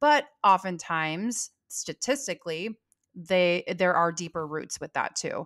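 With an American accent, a woman talks at a fairly slow pace, her intonation lively and her loudness swinging widely, over a quiet background. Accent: Californian, noticed by Southerners. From California. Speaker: salon owner and business coach; podcast co-host. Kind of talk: casual chat. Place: home room. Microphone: studio mic.

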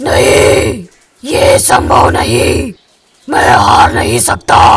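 Slowed to a very slow pace, a man does a raspy put-on character voice with a slight echo. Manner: arrogant, then disbelieving.

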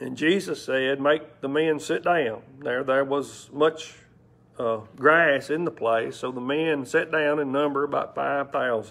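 With intonation that stays fairly level, a man talks very slowly. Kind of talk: scripture reading. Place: church. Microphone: lapel.

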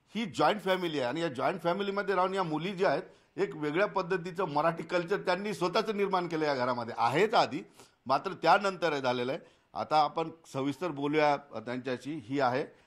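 A man is speaking here. His pitch sits high, and it varies in an ordinary way. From Aurangabad, Maharashtra, India. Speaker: TV news reporter. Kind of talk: field report and interview.

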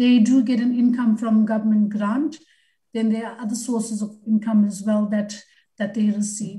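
Over a quiet background, a woman speaks at a moderate pace in a dark, mellow, somewhat breathy tone. Her intonation is monotone and flat. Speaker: government department official; presenter. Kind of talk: formal briefing. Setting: video call. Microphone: video call.

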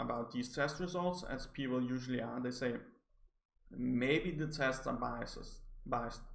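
In a Danish accent, a man speaks fairly slowly at a medium pitch with ordinary pitch variation. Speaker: psychology graduate reviewing articles. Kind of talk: educational video review. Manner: stammering, hesitant.

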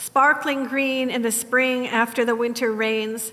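A woman with a high-pitched voice speaks very slowly, her intonation fairly even. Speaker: sermon preacher. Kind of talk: sermon. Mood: reflective, mournful. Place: church.

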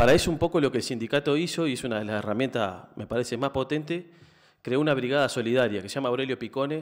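Over a quiet background, a man talks at a very fast pace with ordinary pitch variation. His loudness swings widely. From Uruguay. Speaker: energy cooperative researcher; speaker. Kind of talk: panel talk. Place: hall. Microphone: podium.

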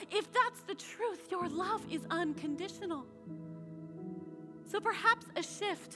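Over clear background music, a woman speaks very slowly with long, frequent pauses. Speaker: spoken word poet. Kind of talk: spoken word poetry performance. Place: stage.

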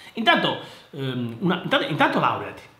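A man's voice with very wide pitch swings at a moderate pace, with light background noise and audible room echo. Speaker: engineer and educational youtuber; private tutor. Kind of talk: casual commentary reading listener mail. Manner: halting, repetitive. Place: office. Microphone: webcam.

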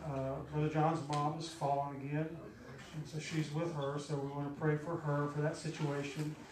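Monotone, flat delivery at a moderate pace, with audible room echo and light background noise. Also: man. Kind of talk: church announcements and exhortation. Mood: earnest, concerned. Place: church.

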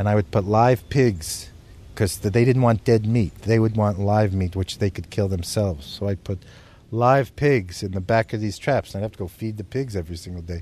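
With an American accent, a man talks at a moderate pace in a dark, mellow tone. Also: fairly low pitch for a man, ordinary pitch variation. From United States. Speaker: zoologist and conservationist. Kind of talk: interview answer.

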